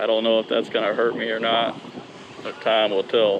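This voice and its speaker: A man talks, and noticeable background noise can be heard behind him. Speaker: kayak fishing youtuber. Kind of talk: outdoor vlog commentary. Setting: outdoors on a kayak. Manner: animated.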